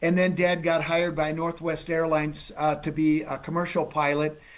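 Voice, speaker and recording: A man speaks with an American accent. His pitch is fairly high. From Minnesota. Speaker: forensic geologist, TV host. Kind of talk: casual interview chat. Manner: loud.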